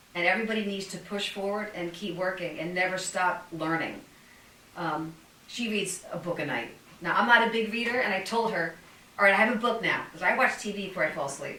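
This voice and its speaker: A woman speaks fairly quickly at a medium pitch with ordinary pitch variation. Noticeable background noise and audible room echo surround her. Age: 60s. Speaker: fitness podcast host. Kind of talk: casual chat.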